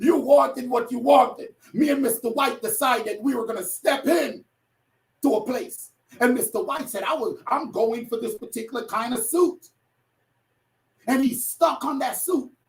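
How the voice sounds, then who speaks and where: A man with a New York accent speaks at an extremely high pitch with an animated tone and lively intonation. He leaves long, frequent pauses. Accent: New York twang. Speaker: motivational speaker. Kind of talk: motivational speech. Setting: online summit call. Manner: fast.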